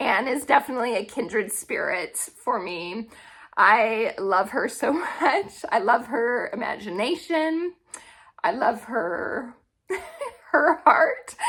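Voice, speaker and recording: A woman puts on a raspy, high-pitched character voice with very wide pitch swings. She talks at a fairly slow pace. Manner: heartfelt, emotional.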